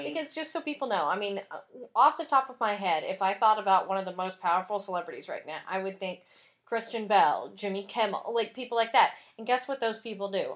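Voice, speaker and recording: Using an ordinary speaking voice with an American accent, a woman talks at a fairly quick pace with fairly high pitch, lively intonation and big swings in loudness. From Texas. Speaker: podcast host.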